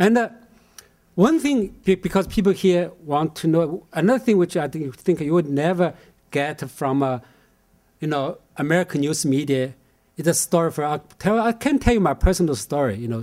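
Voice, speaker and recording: Speaking at a moderate pace with a Chinese accent, a man uses lively intonation. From China, Shanghai. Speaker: professor introducing speaker. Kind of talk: speaker introduction. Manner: halting, many fillers.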